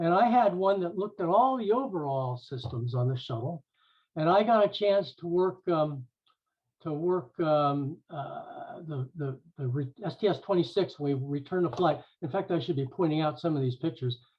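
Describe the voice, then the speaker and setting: The intonation rises and falls in a lively way. The pace is moderate. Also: man, high pitch for a man. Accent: American. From California, Silicon Valley. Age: 60s. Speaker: aerospace engineer, former NASA intern. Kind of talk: presentation talk. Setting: video call. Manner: halting, many fillers and restarts.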